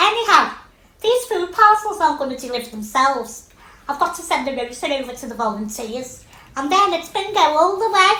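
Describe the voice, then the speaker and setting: In a put-on character voice, the speaker sounds squeaky, moves at a moderate pace with very wide pitch swings, and a slight echo can be heard. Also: woman. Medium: stage play. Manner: direct, chatty.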